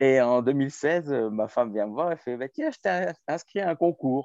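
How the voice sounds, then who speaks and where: A man at a very slow pace with very wide pitch swings and a dark, mellow tone, in a dry, close sound with no echo over a quiet background. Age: 40s. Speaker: chef and restaurant owner. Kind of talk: interview.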